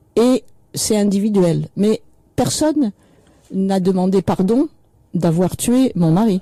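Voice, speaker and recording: A woman's medium-pitched voice with lively intonation and a dark, mellow tone, in a dry, close sound with no echo. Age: 70s. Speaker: author and widow of a political victim. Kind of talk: radio interview.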